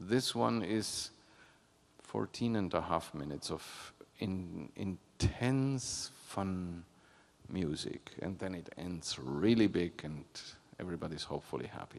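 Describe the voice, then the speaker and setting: Lively intonation marks this man's very deep, low voice. He speaks fairly slowly with a non-native accent. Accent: foreign accent in English. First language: not English. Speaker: orchestra conductor. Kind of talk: pre-concert talk.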